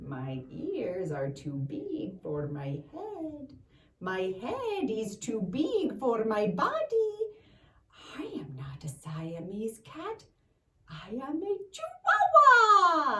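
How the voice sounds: A female-sounding voice does a put-on character voice in a Spanish accent at a fairly high pitch. The pace is very slow, with long, frequent pauses.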